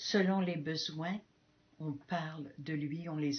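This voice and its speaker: Very slow and fairly even in intonation, a woman speaks at a very deep, low pitch. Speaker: missionary nun. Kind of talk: testimony. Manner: halting.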